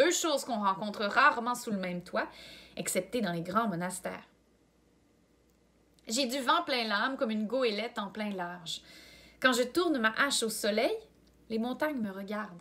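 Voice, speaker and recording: At a fairly slow pace and with long, frequent pauses, a woman speaks in a fairly high voice with lively intonation. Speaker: volunteer reader. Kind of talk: reading aloud.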